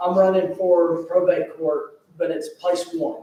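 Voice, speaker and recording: A man's high voice with a Southern US accent, ordinary pitch variation and a fairly slow pace. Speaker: political candidate. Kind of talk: campaign speech. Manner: soft-spoken.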